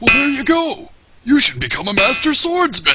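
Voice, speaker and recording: A man doing a cartoonish character voice, raised and projected, at an extremely high pitch and a moderate pace. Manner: gruff, rambling, folksy.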